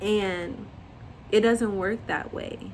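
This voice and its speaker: In a room with audible echo, a woman speaks very slowly in a monotone, flat intonation. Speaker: lifestyle vlogger. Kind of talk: casual monologue. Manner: stutters at times.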